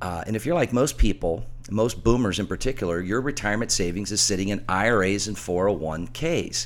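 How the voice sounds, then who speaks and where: Hardly pausing, a man with a fairly low pitch and vocal fry makes very wide pitch swings. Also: moderate pace. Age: middle-aged. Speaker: financial radio host and author. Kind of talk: radio talk show with sales pitch. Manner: animated.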